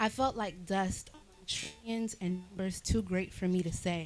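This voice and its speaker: Fairly slow speech from a woman, medium in pitch. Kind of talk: spoken word poetry performance in a church service. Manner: dramatic, despairing, reflective.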